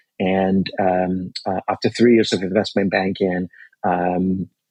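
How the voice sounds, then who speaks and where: A man speaks at a fairly slow pace and fairly low pitch, the sound dry and close with no echo. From Ghana. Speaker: clean energy company CEO. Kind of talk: interview. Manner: many fillers, hesitant.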